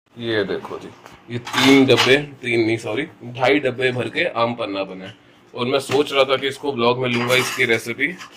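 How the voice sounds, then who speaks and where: With noticeable background noise, a man talks at a fairly slow pace and fairly even intonation. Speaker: vlogger. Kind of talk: casual vlog chat. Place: home room. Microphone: phone near.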